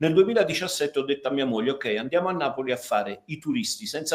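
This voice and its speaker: A man is speaking. His intonation is lively. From Milan, northern Italy (Neapolitan parents). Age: 60s. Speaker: podcast guest. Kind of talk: casual chat. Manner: halting, many repetitions.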